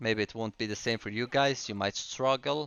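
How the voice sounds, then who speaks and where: In a non-native accent, a man speaks in a middle register. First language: not English. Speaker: gaming video creator. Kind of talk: game tutorial with live commentary. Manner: halting with fillers and restarts; casual.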